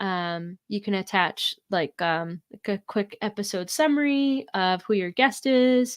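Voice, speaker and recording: In a very clean recording with a silent background and a dry, close sound with no echo, a woman speaks at a medium pitch with lively intonation. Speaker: food scientist and blogger, business owner. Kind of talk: interview, casual chat. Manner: loud.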